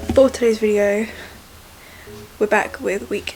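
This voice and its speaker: Someone with a southern English accent speaks over noticeable background noise. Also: woman. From England. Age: young. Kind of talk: casual vlog talk to camera.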